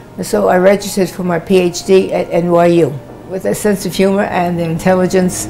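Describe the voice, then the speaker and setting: Over noticeable background noise, a woman with an American accent talks at a fairly quick pace in a medium pitch with monotone, flat intonation. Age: 80s+. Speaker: professor. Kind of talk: interview testimony.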